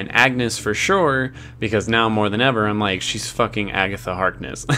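Faint music plays in the background. The speaker keeps a moderate pace with ordinary pitch variation. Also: man. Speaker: reaction video host. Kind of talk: review commentary. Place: home room. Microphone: studio mic.

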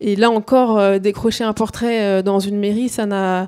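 The voice has a dark, mellow tone and monotone, flat intonation, moving at a fairly slow pace over a quiet background. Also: woman. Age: 30s. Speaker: climate activist; panelist. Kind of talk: panel discussion. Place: hall. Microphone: handheld.

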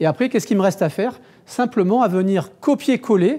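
A man's high-pitched, dark, mellow voice with lively intonation. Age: 50s. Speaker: digital marketing agency founder giving a talk; conference speaker. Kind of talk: conference talk. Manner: halting, many repetitions and fillers. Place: meeting room.

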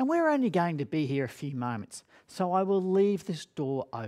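The background stays quiet while a man talks. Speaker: speaker. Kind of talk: dramatic storytelling talk. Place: studio.

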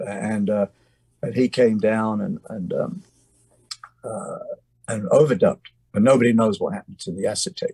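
A man with an English accent speaks at a moderate pace with long, frequent pauses, the sound dry and close with no echo. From England. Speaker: musician. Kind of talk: interview storytelling. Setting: video call from home studio. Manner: halting.

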